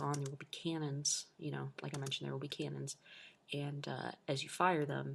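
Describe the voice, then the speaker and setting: The pace is moderate. The voice is quiet. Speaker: gaming video creator. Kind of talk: gameplay tutorial. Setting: home recording at night. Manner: quiet, hushed.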